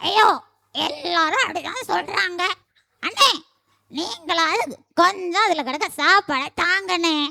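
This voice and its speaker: A cartoonish character voice speaks at an extremely high pitch. The pace is very slow. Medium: puppet. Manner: sorrowful, pleading.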